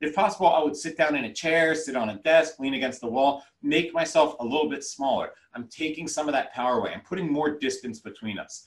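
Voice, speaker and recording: At a fairly quick pace with hardly any pauses, a man with a normal speaking voice talks at a fairly high pitch with ordinary pitch variation. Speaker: educator and trauma-informed trainer. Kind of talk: lecture.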